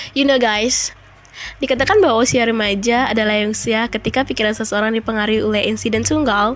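A woman's fairly high voice with an Indonesian accent, very fast and very even in loudness. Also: fairly even intonation. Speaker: podcaster. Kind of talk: storytelling.

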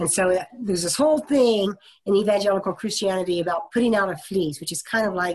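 A woman with an American accent and an ordinary speaking voice talks at a fairly quick pace with ordinary pitch variation. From US Midwest, Topeka, Kansas. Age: 50s. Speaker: minister. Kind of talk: oral history interview.

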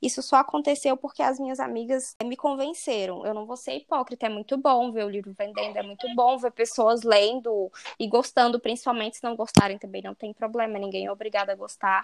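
Fairly quick and with hardly any pauses, a woman speaks at a fairly high pitch. Her pitch variation is ordinary, and her loudness swings widely. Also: dry, close sound with no echo. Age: 20s. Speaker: author. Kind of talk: interview. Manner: animated.

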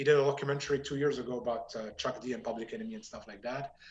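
Somewhat breathy and pitched fairly high for a man, this man talks at a very fast pace. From Morocco. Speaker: blues musician. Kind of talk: interview. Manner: halting.

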